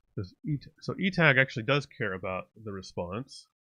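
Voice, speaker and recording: A man talks at medium pitch and a fairly slow pace, with a bright, sharp tone. The sound is dry and close with no echo, over a quiet background. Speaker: software developer live-streaming coding. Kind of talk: live coding stream. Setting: live stream with chat. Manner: halting, many fillers and restarts.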